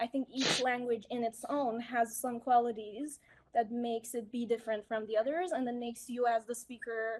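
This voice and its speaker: A woman's high voice in a Persian accent, at a moderate pace with fairly even intonation. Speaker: English speaking teacher. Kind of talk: casual chat.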